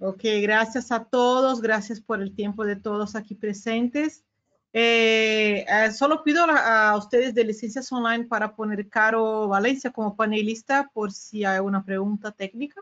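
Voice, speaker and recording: A woman with a Brazilian accent and a fairly high pitch speaks with fairly even intonation and hardly any pauses. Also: fairly slow pace. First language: Portuguese (speaking Spanish). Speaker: regional sales director. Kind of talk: business webinar presentation. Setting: video call webinar. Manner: halting, many fillers. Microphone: video call.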